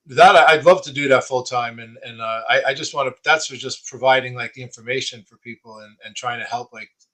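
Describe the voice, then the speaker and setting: With a New York accent, a man speaks at a fairly quick pace and medium pitch, ordinary pitch variation, hardly any pauses, and big swings in loudness. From Long Island, New York. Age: 60s. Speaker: person with Parkinson's and coach. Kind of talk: casual interview chat.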